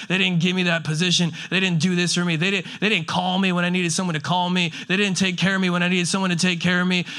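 There is noticeable background noise as a man speaks in a high pitch. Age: 30s. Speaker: pastor. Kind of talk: sermon. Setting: church service with live audience. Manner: animated.

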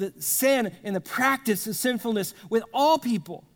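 The recording is very clean, with a silent background. A man speaks fairly slowly in a high voice with lively intonation. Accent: Texan. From South Texas. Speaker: pastor. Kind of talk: sermon. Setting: church with congregation.

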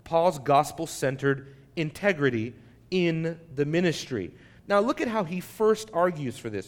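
A man's fairly high voice with lively intonation at a fairly slow pace. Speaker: pastor. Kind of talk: sermon. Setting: church. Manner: loud.

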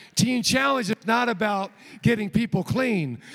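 A man talks loudly. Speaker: traveling evangelist and rehab ministry coordinator. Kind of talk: sermon. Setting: church stage with congregation. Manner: animated.

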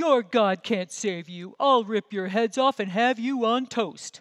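A bellowing put-on character voice, fairly high in pitch, at a fairly slow pace. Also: quiet background. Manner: menacing.

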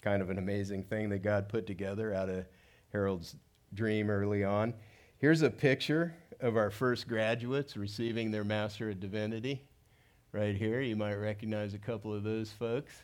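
A man with a Californian accent, fairly low in pitch, at a moderate pace. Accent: Californian American English. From Southern California (South Gate, Los Angeles area). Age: 60s. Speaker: pastor. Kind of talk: sermon. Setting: church stage with audience.

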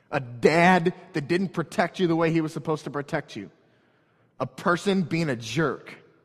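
An American-accented man with an ordinary speaking voice talks at a moderate pace with fairly high pitch and ordinary pitch variation, in a very clean recording with a silent background. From St. Louis area, Missouri (North County). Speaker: pastor. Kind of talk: sermon.

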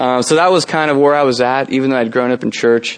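This man's voice sits at a medium pitch with monotone, flat intonation. He speaks with a Californian accent. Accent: General American (Californian). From US West Coast, San Jose, California. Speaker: campus ministry leader, guest preacher. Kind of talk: sermon. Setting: church service with congregation.

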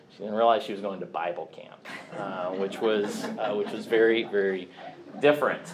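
A man with an American accent speaks at a moderate pace. Noticeable background noise and audible room echo are present. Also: fairly low pitch for a man, ordinary pitch variation, big swings in loudness. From US Midwest, Kansas City area (Blue Springs, Missouri). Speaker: church elder. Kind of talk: personal testimony.

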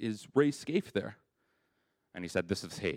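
Speaking at a fairly slow pace with a Canadian accent, a man uses lively intonation. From Canada, Winnipeg. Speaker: church member sharing testimony. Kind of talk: testimony.

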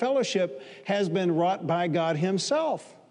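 A man speaks in a high pitch, with audible room echo and noticeable background noise. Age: 60s. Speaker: pastor. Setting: church service before a live congregation.

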